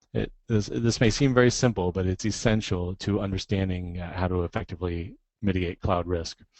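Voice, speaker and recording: A man speaks at a fairly quick pace. His pitch is fairly low. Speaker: software licensing director and cloud contracting instructor. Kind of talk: webcast presentation. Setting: webcast. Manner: fast.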